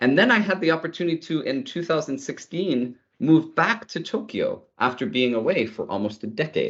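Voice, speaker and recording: Using a Canadian accent, a man speaks with very wide pitch swings. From Canada, Ottawa. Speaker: tech executive. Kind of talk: interview.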